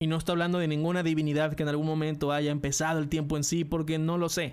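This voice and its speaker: A man's high-pitched voice with a Mexican accent, in a very clean recording with a silent background. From Mexico. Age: 20s. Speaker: podcaster and streamer. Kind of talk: scripted monologue.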